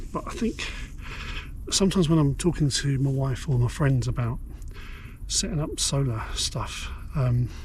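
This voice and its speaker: A man whispering at a moderate pace, long, frequent pauses, noticeable background noise and audible room echo. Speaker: outdoor prepping vlogger. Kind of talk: casual vlog chat. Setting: outdoors under a tarp on a cliff at night. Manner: hesitant, many fillers.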